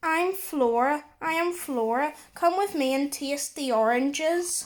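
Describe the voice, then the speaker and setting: Using a put-on character voice, a woman speaks high-pitched and fairly slowly. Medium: read story.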